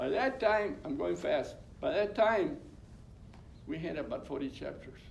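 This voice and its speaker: A man speaking at a fairly slow pace, with audible room echo. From California Central Valley. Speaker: labor union co-founder. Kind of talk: oral history talk. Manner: halting, repetitive.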